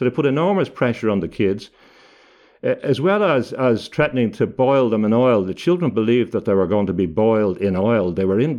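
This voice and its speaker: Against a quiet background, a man with an Irish accent talks at a fairly quick pace with lively intonation. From Ireland. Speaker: barrister and author. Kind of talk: interview. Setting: video call. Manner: halting, many repetitions.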